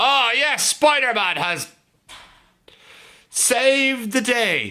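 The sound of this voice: A man talks at an extremely high pitch with big pitch swings. His tone is bright and sharp, and his pace is very slow.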